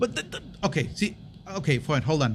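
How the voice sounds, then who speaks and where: A man's fairly high voice at a fairly quick pace, with lively intonation, in a very clean recording with a silent background. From US, Mexican-American. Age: 30s. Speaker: podcast co-host. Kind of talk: casual chat. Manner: animated.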